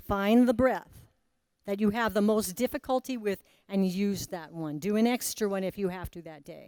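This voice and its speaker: Her medium pitch shows ordinary variation as a woman speaks at a fairly slow pace in a very clean recording with a silent background. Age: 60s. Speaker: breathwork teacher. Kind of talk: guided breathing workshop. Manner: animated.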